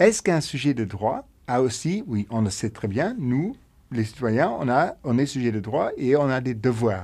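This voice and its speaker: A man speaks at a fairly slow pace in a medium pitch, with a Luxembourgish accent. His intonation is lively and the background is quiet. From Luxembourg, mining basin in the south. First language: Luxembourgish (speaking French). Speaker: podcast host. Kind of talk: interview conversation.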